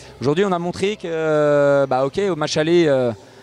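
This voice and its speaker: Noticeable background noise sits behind a man talking at a moderate pace. His voice is fairly high, with ordinary pitch variation. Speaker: futsal coach. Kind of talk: post-match interview. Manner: hesitant, many filler sounds.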